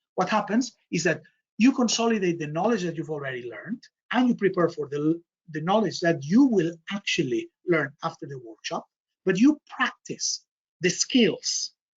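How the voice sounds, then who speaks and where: At a moderate pace, a man with a Spanish accent talks at a high pitch with very wide pitch swings. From Spain, Barcelona. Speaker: MBA programme director. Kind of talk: online information session presentation. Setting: online webinar.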